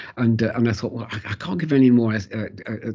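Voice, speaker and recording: A man's somewhat breathy, dark, mellow voice at a medium pitch and a very fast pace. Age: 80s+. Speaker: interviewee sharing life story. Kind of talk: interview. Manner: halting, many repetitions and fillers.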